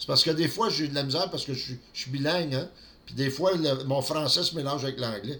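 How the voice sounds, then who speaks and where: A man with a Quebec accent speaks at a fairly quick pace and a fairly high pitch. His tone is bright and sharp, with ordinary pitch variation. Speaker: network marketing vlogger. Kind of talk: solo vlog monologue. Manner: halting, repeats words.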